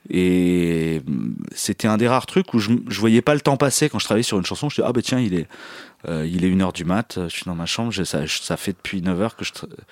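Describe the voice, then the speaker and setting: A man speaks at a very deep, low pitch with lively intonation and a fairly quick pace. The recording is very clean and silent behind him, with a dry, close sound and no echo. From France, Picardy (Saint-Quentin). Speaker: musician. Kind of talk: casual interview. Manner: halting.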